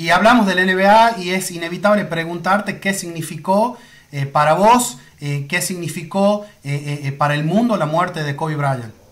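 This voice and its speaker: At a fairly slow pace, a man with a high pitch and ordinary pitch variation speaks against a quiet background. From Argentina. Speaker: sports photographer; sports photographer interviewing a commentator. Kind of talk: interview. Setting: Instagram live video call. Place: home room.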